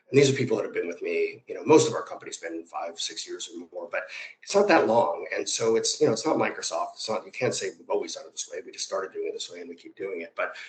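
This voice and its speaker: With an American accent, a man speaks at a very fast pace, his loudness swinging widely. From US Midwest, Chicago northwest suburbs. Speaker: media company executive. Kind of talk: interview conversation. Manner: many fillers and restarts.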